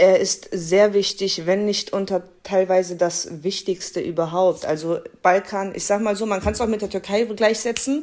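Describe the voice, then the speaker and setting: A woman's unremarkable speaking voice at medium pitch, moderate pace and fairly even intonation, with hardly any pauses. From Germany, Kassel. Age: 20s. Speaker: podcast guest. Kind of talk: casual chat.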